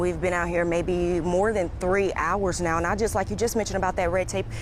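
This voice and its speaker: A woman with a fairly low voice talks as noticeable background noise carries on around her. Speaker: news reporter. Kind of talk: live TV news report. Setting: outdoors.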